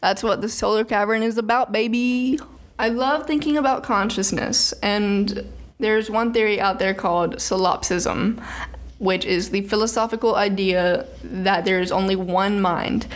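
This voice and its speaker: A woman with an American accent speaks at a moderate pace in an ordinary speaking voice, her fairly high pitch showing ordinary variation and her loudness very even. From US South, Birmingham, Alabama. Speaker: podcast host. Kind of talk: solo podcast monologue on philosophy.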